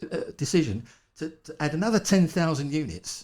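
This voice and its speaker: A man with a strong East London accent speaks at a fairly high pitch in an animated tone. Vocal fry runs through his voice. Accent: strong local East London. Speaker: wildlife conservation campaigner. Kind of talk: podcast interview.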